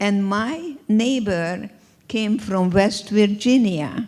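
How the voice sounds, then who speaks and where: A woman with a Hungarian accent speaks at a medium pitch with ordinary pitch variation. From Hungary. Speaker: Holocaust survivor and speaker. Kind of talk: inspirational talk.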